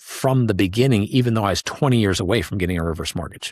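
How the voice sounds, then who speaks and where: A man with a normal speaking voice talks at a fairly low pitch with ordinary pitch variation. The very clean recording has a silent background and a dry, close sound with no echo. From US Midwest, Wisconsin. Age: 60s. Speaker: reverse mortgage specialist. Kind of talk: podcast interview.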